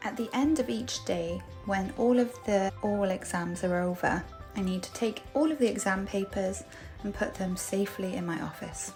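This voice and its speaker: Music plays in the background as a woman with a Welsh accent speaks at a moderate pace and medium pitch, her intonation lively. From Cardiff, Wales. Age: 30s. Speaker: English teacher. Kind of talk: casual vlog narration.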